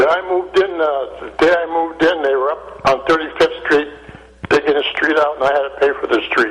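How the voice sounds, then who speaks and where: Noticeable background noise sits behind a man's fairly high voice. His intonation stays fairly even. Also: fairly quick pace. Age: 80s+. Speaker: caller. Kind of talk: call-in chat.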